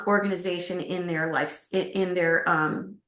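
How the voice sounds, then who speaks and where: With audible room echo, a woman speaks at a medium pitch and a moderate pace. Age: 60s. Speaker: executive recruiter. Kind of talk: interview.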